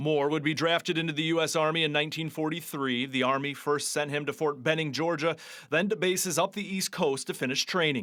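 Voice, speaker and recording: A man talks at a fairly quick pace in an ordinary speaking voice, fairly high-pitched and fairly even in intonation, on a very clean recording with a silent background. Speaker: TV news reporter. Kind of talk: TV news report narration.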